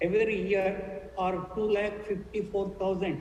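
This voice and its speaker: Room echo is audible, along with noticeable background noise. The pace is very slow. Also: woman. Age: 70s. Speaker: panel speaker on health. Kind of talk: panel discussion talk. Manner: halting, with fillers and repetitions.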